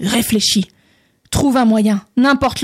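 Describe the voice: The clip is plain reading aloud over a quiet background.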